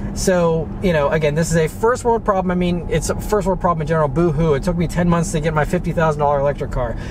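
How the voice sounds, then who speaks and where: The speech runs at a very fast pace with hardly any pauses and ordinary pitch variation, in a dry sound with no echo over noticeable background noise. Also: man, high pitch for a man. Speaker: car vlogger. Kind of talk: casual vlog chat. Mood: mildly frustrated, explanatory. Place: car.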